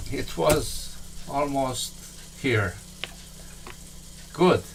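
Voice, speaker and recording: Through audible room echo and noticeable background noise, a man with a Romanian accent speaks at a very slow pace, leaving long, frequent pauses while his pitch makes very wide swings. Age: 70s. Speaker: software tutorial instructor. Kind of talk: tutorial. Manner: halting.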